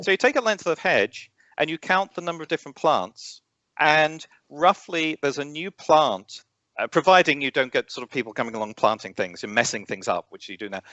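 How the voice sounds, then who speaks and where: A man with an English accent talks fairly quickly in a fairly high voice with vocal fry. His pitch swings very widely and his loudness rises and falls a lot. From England. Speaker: astronomy educator, former science teacher. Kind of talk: interview. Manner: halting, many fillers.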